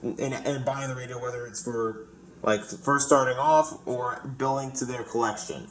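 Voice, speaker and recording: Audible room echo and noticeable background noise surround a man talking at a moderate pace with a fairly high pitch. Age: 20s. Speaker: radio collector. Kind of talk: casual group chat. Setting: group voice call.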